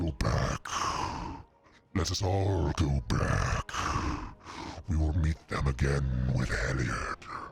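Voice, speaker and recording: A booming, growling put-on character voice at a very slow pace, with long, frequent pauses. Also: man, very deep, low pitch for a man. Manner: commanding.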